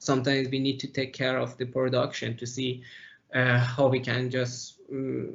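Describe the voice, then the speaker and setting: A man speaks at a medium pitch and moderate pace with a non-native accent. His voice is somewhat breathy, in a monotone, flat intonation. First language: not English. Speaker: process engineer. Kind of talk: interview. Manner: halting, many fillers.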